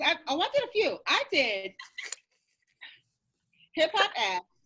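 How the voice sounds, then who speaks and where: A woman speaks in a raised, projected voice of extremely high pitch. Her pace is moderate and her pitch swings very widely. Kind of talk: casual podcast conversation.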